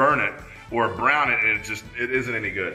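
Audible room echo surrounds a man talking at a very fast pace. Faint music plays in the background. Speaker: cooking show host. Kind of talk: tutorial. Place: kitchen.

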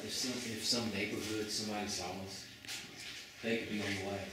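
A man talks at a very fast pace. Loud background noise and audible room echo fill the recording. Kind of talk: casual vlog chat. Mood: awed, slightly nervous. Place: classroom.

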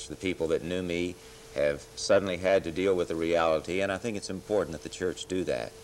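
A man's very deep, low voice in an American accent, very fast pace and fairly even intonation, over light background noise. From Texas. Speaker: city politician, former minister; guest. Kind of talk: interview. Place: studio. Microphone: lapel.

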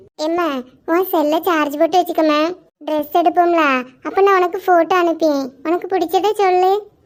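This is a woman doing a cartoonish character voice at an extremely high pitch. Her intonation stays monotone and flat. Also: moderate pace. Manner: soft, affectionate.

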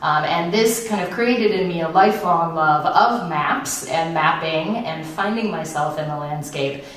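A woman speaks at a fairly slow pace in a fairly low pitch. Audible room echo surrounds her voice. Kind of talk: lecture. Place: stage.

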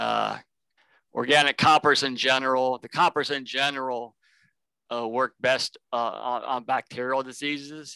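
A man with an American accent has a bright, sharp tone and a monotone, flat delivery. The sound is dry, with no echo. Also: moderate pace, quiet background. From Ohio, Cincinnati; Ohio. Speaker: plant pathology extension specialist; presenter. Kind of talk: panel discussion on video call. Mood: informal, helpful. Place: office. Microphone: headset.

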